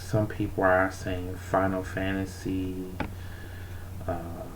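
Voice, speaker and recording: A quiet voice moves at a very slow pace against noticeable background noise. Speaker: art streamer. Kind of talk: casual chat. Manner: quiet, kept down so others can sleep.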